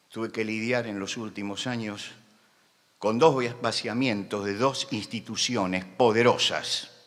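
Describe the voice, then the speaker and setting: A man talks at a fairly slow pace, and audible room echo can be heard. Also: medium pitch for a man, fairly even intonation. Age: 70s. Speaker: pastor. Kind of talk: sermon. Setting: conference with audience. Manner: impassioned.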